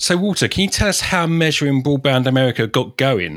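A man talks with a British accent at a fairly quick pace. His medium-pitched voice swings very widely in pitch. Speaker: podcast host. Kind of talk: interview.

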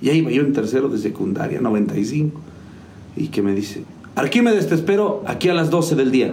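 Noticeable background noise sits behind a man speaking at a moderate pace. His fairly high voice makes very wide pitch swings. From Mexico, Hidalgo. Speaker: musician and music teacher. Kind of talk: interview. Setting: video show.

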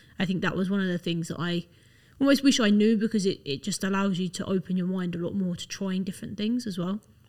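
This woman talks very fast at a medium pitch, with ordinary pitch variation. Her voice is somewhat breathy. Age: 20s. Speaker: fitness enthusiast. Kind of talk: casual chat.

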